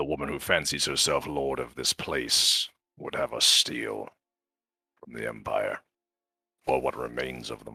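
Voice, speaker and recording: A man's put-on character voice, raspy and very deep, broken by long, frequent pauses. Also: moderate pace. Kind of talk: archaic formal speech. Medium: actual play. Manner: formal, grave, contemptuous.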